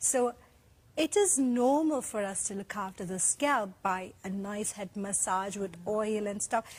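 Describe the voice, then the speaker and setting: On a very clean recording with a silent background, a woman speaks in a somewhat breathy voice with ordinary pitch variation. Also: medium pitch for a woman, fairly slow pace. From India, Kerala. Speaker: doctor and skincare product founder. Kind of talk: TV shopping presentation.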